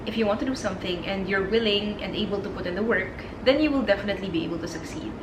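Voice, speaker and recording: A woman with a Filipino accent talks very fast with lively intonation. Noticeable background noise runs underneath. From Philippines. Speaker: corporate lawyer. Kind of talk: storytime vlog in English and Tagalog.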